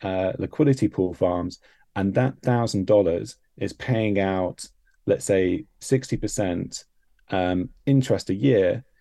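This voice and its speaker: The tone is dark and mellow, with ordinary pitch variation. Delivery is fairly slow over a quiet background. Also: man. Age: 30s. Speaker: crypto project founder. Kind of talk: casual chat.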